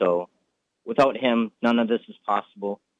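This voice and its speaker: A man with an American accent and a plain, everyday voice, at a moderate pace with fairly even intonation. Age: young. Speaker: race car driver. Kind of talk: interview.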